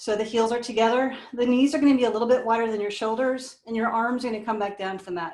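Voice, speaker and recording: This woman talks at a very fast pace in a fairly high voice. Her intonation stays fairly even. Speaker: pilates instructor. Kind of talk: live online fitness class instruction. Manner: encouraging, conversational.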